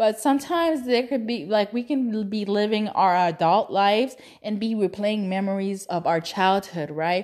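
Animated and with lively intonation, a woman with a Spanish accent talks at a moderate pace in a medium pitch, with hardly any pauses. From Cuban family in Texas, US. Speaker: podcast host. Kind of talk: casual monologue. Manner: animated, laughs often; halting, many fillers.

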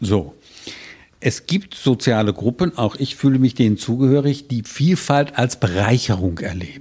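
A man talks fairly slowly, his voice somewhat breathy with a dark, mellow tone. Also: medium pitch for a man, lively intonation, very clean recording, silent background. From Rhineland, Germany. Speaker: physician. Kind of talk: interview.

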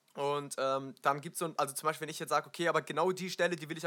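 A man talks very fast in a fairly high pitch with a bright, sharp tone. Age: 20s. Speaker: musician and radio host. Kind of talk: casual chat.

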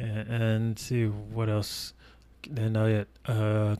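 The voice belongs to a man. It is pitched in the middle of the range. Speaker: football podcast co-host. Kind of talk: casual chat.

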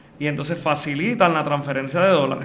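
There is audible room echo around a man who speaks with fairly even intonation. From Puerto Rico, Aguada. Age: young. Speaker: lawyer and accountant. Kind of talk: interview.

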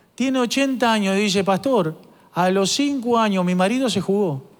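The speaker has a Rioplatense accent and a fairly slow pace. Music plays in the background. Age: 50s. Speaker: pastor. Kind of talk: sermon.

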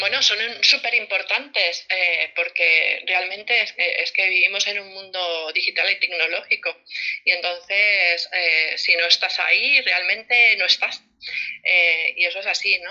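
Noticeable background noise sits behind a woman's voice. She speaks at a fairly slow pace with ordinary pitch variation. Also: medium pitch for a woman. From Barcelona, Spain. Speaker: family financial planner. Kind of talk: casual interview. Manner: halting, many repetitions.

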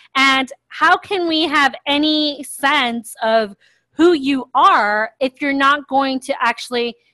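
With an American accent, a woman uses a raised, projected voice at a high pitch with lively intonation. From US, Miami, Florida. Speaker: podcast co-host. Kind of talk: casual chat.

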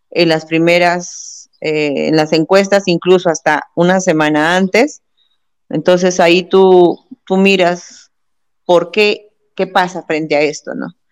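This is a plain, everyday voice, its intonation fairly even throughout. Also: woman. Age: 50s. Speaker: politician. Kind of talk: interview.

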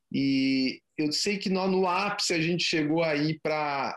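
A man speaks slowly-ish, at a fairly slow pace, with a fairly high pitch and ordinary pitch variation. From Brazil, Curitiba. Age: 40s. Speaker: photography business owner. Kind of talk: interview. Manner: halting, many repetitions.

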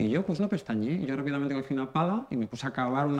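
With a plain, everyday voice, a man at medium pitch talks at a fairly quick pace with lively intonation. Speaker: comedy contributor. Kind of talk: comedic monologue.

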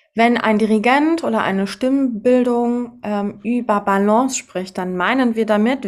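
Fairly high in pitch, a woman speaks at a fairly slow pace with ordinary pitch variation. The recording is very clean, with a silent background. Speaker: podcast host and choral singer. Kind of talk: casual chat.

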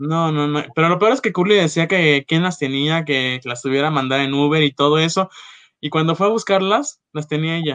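A man talks with a fairly high pitch at a moderate pace in a normal speaking voice. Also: ordinary pitch variation. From Mexico, Acapulco. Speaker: former coffee shop manager. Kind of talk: casual chat.

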